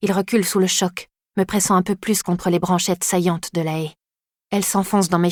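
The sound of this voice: Over a quiet background, an unforced reading voice carries fairly even intonation.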